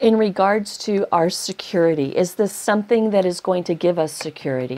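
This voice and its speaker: A woman at a medium pitch, with ordinary pitch variation and a moderate pace. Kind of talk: tarot reading monologue. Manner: repetitive, animated.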